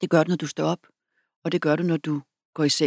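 A woman in dry, close sound with no echo. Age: 50s. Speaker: author and public speaker. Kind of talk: interview conversation.

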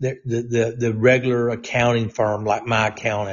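His voice sits at a medium pitch and is somewhat breathy. This man keeps his intonation fairly even. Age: 60s. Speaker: fill-in talk radio host, former state legislator. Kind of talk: political talk monologue.

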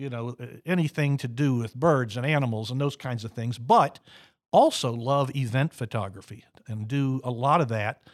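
An unremarkable speaking voice from a man with an American accent, medium in pitch with ordinary pitch variation, at a fairly slow pace, on a very clean recording with a silent background and a dry, close sound with no echo. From Florida. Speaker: retired photographer and city councilman. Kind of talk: casual radio interview. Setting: radio studio.

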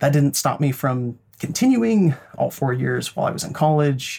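A man with an American accent, fairly quick and somewhat breathy. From Idaho, rural. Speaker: psychologist. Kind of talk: interview.

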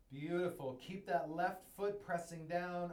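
The voice has an energetic tone and moves at a moderate pace. Noticeable background noise sits behind it. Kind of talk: guided breathwork and movement class; live-streamed online class. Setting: online livestream, instructor speaking to viewers at home. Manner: warm, encouraging, and nurturing; rhythmic, coaching cues, energetic.

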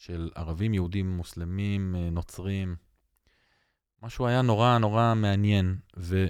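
Delivered at a fairly slow pace with long, frequent pauses, the speech sits on a very clean recording with a silent background. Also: man, fairly low pitch for a man, fairly even intonation. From Israel, Jaffa. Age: 40s. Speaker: metal band frontman. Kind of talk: podcast interview.

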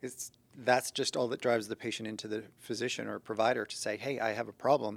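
On a very clean recording with a silent background, a man with a plain, everyday voice speaks at a medium pitch and fairly quick pace with fairly even intonation. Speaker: co-host, compounding pharmacist. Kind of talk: casual podcast conversation.

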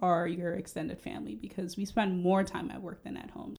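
At a fairly quick pace, the speaker uses a plain, everyday voice. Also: woman. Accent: American. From Cameroon, West Africa, then Boston from age 11. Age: young. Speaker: podcast co-host, healthcare worker. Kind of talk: casual chat.

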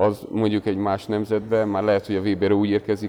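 The speaker talks at a very fast pace in a monotone, flat delivery with a dark, mellow tone. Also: man. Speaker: national youth team basketball coach. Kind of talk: casual interview chat.

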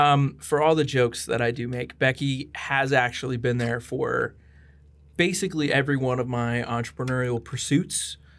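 At a moderate pace, a man talks in an ordinary speaking voice at medium pitch with fairly even intonation. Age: 20s. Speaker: podcast host. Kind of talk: casual chat. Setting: studio.

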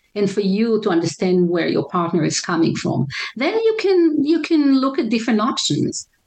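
This speaker has an Israeli accent, very wide pitch swings, and very even loudness. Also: woman, fairly high pitch for a woman, moderate pace. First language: Hebrew. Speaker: relationship counselor. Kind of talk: interview. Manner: halting, many fillers.

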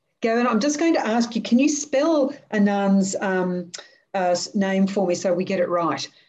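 With an Australian accent, a woman speaks at a moderate pace with lively intonation and very even loudness. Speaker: podcast host and education consultant. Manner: high-energy, positive.

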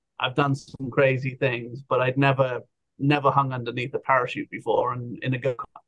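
In an English accent, a man talks at a fairly quick pace. His medium-pitched voice stays monotone and flat. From England. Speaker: outdoor adventure business owner. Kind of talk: casual interview chat. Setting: video call.

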